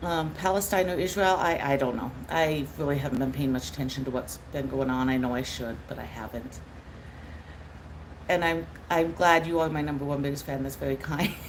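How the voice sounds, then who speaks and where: Audible room echo surrounds a woman with an American accent who speaks at a fairly quick pace and a very deep, low pitch with ordinary pitch variation. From United States. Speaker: streamer. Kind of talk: live stream Q&A chat. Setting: live stream at laptop. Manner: expressive.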